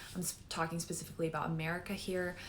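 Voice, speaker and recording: A woman with a fairly low pitch talks, and audible room echo fills the recording. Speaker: naturopathic doctor. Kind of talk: educational talk.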